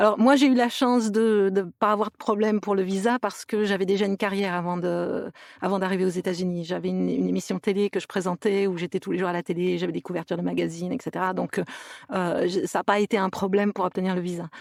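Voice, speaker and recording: A woman at medium pitch, very fast pace and fairly even intonation. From France, near Toulouse. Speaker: actress and voice actress. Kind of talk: podcast interview. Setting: remote recording.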